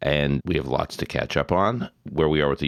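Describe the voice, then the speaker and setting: With an American accent and vocal fry, a man speaks with ordinary pitch variation on a very clean recording with a silent background. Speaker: podcast host. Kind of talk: casual chat; interview.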